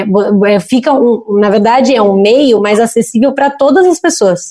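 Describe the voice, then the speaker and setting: With a dark, mellow tone and a fairly high pitch, a woman talks at a moderate pace using lively intonation. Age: 20s. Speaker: audiovisual producer and entrepreneur. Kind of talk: interview. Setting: video call.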